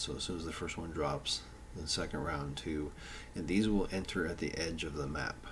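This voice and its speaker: A man with a very deep, low pitch and fairly even intonation at a fairly quick pace, with audible room echo and noticeable background noise. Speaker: tabletop game designer. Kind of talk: tutorial. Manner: slurred speech; halting, many fillers.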